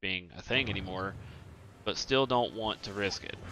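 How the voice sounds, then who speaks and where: Speaking at a moderate pace in a Southern US accent, a man uses a bright, sharp tone and fairly even intonation. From Eastern US. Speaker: video game streamer. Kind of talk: casual chat. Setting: live stream.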